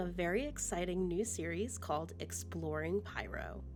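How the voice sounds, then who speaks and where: A woman's voice with music in the background. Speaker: gaming content creator. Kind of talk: gameplay narration voice-over. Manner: casual, upbeat.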